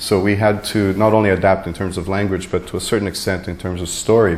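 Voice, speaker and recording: Very fast and fairly low, a man talks with a Portuguese accent and fairly even intonation, with audible room echo. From Canada. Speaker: graded reader editor and panelist. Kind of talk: panel discussion at a conference. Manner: hesitant, many fillers and repetitions.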